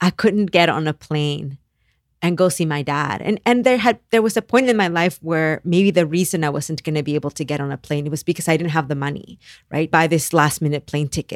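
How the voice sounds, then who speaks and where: A woman with a very deep, low pitch talks at a fairly quick pace. The recording is very clean with a silent background and a dry, close sound with no echo. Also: ordinary pitch variation. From Mexico. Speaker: author and activist. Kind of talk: casual interview conversation.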